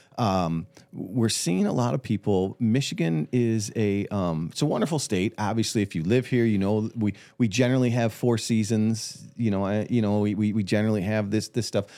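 A man speaks with a dark, mellow tone. His loudness stays very even. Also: fairly low pitch for a man, ordinary pitch variation, moderate pace. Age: under 65. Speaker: financial advisor podcast co-host. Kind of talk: casual chat. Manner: halting, many repeated words.

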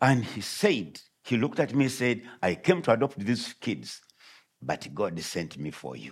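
This man's voice carries vocal fry, with very wide pitch swings and big swings in loudness. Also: medium pitch for a man. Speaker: visiting pastor and missionary. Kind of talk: sermon. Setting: church.

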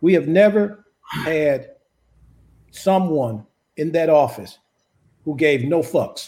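A man's fairly high voice with an American accent, at a very slow pace with long, frequent pauses. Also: ordinary pitch variation. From Chicago South Side. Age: old. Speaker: conservative political commentator. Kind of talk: heated debate. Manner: animated.

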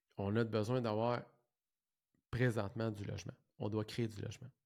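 This man has a Quebec accent and a medium pitch, talking at a fairly slow pace. The recording is very clean, with a silent background. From Quebec, Saint-Jean-sur-Richelieu. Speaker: podcast host, real estate entrepreneur. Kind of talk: solo podcast monologue. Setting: office. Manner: halting, many fillers and repetitions.

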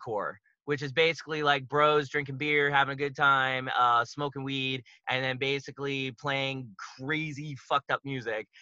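A normal speaking voice with an American accent at a moderate pace. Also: man. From Pittsburgh, Pennsylvania, US. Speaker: musician and documentary filmmaker. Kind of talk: casual podcast interview.

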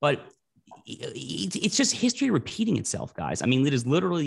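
Speaking very fast with lively intonation, a man with an American accent sounds somewhat breathy. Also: quiet background. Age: 30s. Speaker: political columnist and podcast panelist. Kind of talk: political panel discussion.

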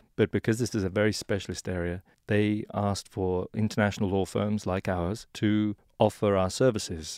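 With an English accent, a man speaks at a moderate pace in a monotone, flat intonation, the sound dry and close with no echo on a very clean recording with a silent background. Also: fairly low pitch for a man. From England. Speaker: law firm partner. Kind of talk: interview.

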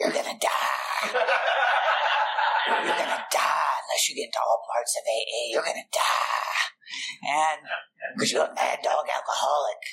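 Putting on a raspy character voice in a Louisiana accent, a man speaks at a moderate pace. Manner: ominous, warning.

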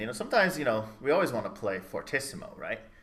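Speaking in an American accent, a man uses an unremarkable speaking voice at a medium pitch with lively intonation. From Chicago area, US. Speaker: trumpeter and music teacher. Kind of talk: casual interview chat. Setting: video call.

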